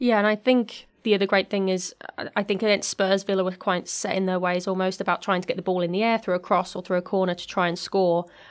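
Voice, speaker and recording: A woman in a British accent, medium in pitch, at a very fast pace with hardly any pauses and a monotone, flat intonation. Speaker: podcast host. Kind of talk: casual chat.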